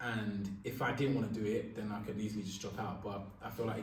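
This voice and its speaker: Someone with a London accent talks very fast amid noticeable background noise and audible room echo. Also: man. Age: 20s. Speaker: radio presenter. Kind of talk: interview.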